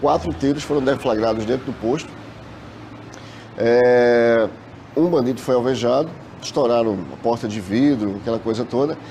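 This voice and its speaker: Speaking at a moderate pace with ordinary pitch variation, a man with a medium-pitched voice leaves long, frequent pauses against noticeable background noise. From Brazil, Recife, Pernambuco. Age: 40s. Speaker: bank worker, trauma survivor. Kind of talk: testimony.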